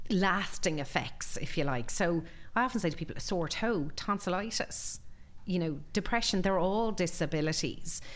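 Audible room echo surrounds a woman's voice. She speaks fairly quickly with lively intonation. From Ireland, Galway. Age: 40s. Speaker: employment lawyer. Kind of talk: interview.

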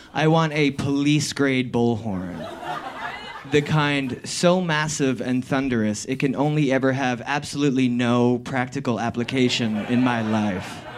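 Over noticeable background noise, a man with an American accent speaks at medium pitch and a fairly slow pace. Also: ordinary pitch variation. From New Jersey. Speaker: storyteller. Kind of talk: live storytelling. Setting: stage with audience.

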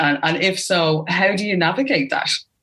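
A woman speaks with an Irish accent and lively intonation. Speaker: podcast host. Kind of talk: casual interview chat. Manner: animated.

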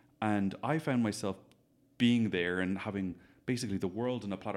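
A man speaks with a Dublin accent at a fairly low pitch and a fairly quick pace, with ordinary pitch variation. The recording is very clean, with a silent background. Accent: Dublin Irish. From Dublin, Ireland. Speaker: hairstylist. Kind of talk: casual interview chat. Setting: echoey room.

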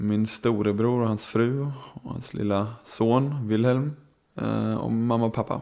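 This is a normal speaking voice at a fairly slow pace. The intonation stays fairly even. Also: man, medium pitch for a man. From Sweden. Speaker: show jumper. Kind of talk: interview. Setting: horse show.

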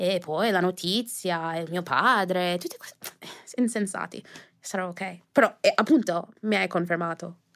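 In a very clean recording with a silent background, the voice moves at a fairly slow pace with ordinary pitch variation. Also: woman, medium pitch for a woman. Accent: English. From US, New Jersey, early years in Jamaica. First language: English (speaking Italian). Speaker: influencer. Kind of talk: interview. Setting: studio.

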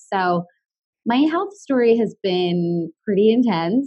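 Her pitch varies in an ordinary way as a woman speaks at a fairly slow pace. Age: 30s. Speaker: wellness talk show host and chronic illness advocate. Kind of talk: interview conversation.

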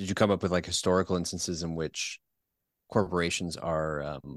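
This man has a Canadian accent and a very deep, low pitch. The background is quiet. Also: dry, close sound with no echo. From Ontario, Canada (Peterborough). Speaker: podcast host. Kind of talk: casual chat. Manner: halting, many repetitions and fillers.

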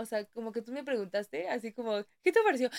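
A woman talks fairly quickly in an unremarkable speaking voice. Her pitch is fairly high and her intonation lively. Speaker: podcast co-host. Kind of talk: casual chat. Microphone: new microphone.

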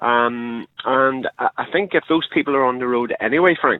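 A man with a Northern Irish accent and a medium-pitched voice. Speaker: caller. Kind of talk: phone-in call. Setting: phone call. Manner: halting, many fillers.

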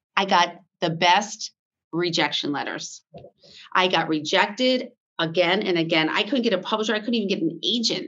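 With an ordinary speaking voice, a woman talks at a moderate speed, her medium pitch showing ordinary pitch variation. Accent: American. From US, Vermont. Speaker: fashion brand founder. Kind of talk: interview.

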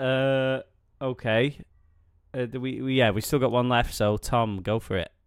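A man speaks with an English accent at medium pitch and fairly even intonation. He leaves long, frequent pauses. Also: fairly slow pace. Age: 30s. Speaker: podcast host. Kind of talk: casual chat.

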